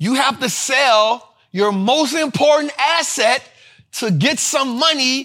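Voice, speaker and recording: An animated, passionate voice is raised and projected, with a bright, sharp tone and ordinary pitch variation. The pace is fairly slow, on a very clean recording with a silent background. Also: man. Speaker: finance show host. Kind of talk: casual energetic commentary on stock market, video show.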